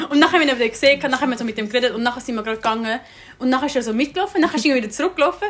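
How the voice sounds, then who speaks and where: A woman's animated, high-pitched voice with lively intonation at a very fast pace, over noticeable background noise. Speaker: podcast host. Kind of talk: casual chat.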